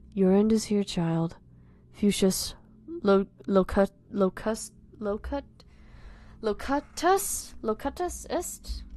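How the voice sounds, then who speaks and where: A woman uses a put-on character voice, croaky and medium in pitch, at a very slow pace. Long, frequent pauses break up her speech against a quiet background. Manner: menacing.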